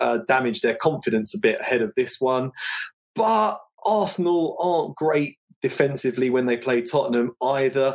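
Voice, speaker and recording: The speaker talks with a London accent and lively intonation at a moderate pace. Loudness stays very even throughout. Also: man. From England, North London. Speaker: football betting analyst. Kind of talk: sports betting analysis.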